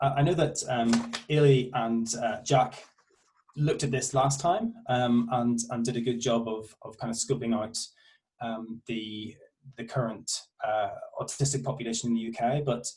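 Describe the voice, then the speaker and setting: In a Northern Irish accent, a man speaks at a moderate pace with fairly even intonation. His medium-pitched voice is somewhat breathy. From Northern Ireland. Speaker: university researcher. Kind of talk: academic presentation. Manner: halting, many fillers.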